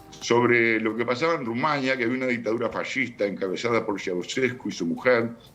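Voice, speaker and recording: Noticeable background noise sits behind a man speaking at medium pitch with fairly even intonation and hardly any pauses. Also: fairly quick pace. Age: 70s. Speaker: writer. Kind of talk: interview. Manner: hesitant, many fillers.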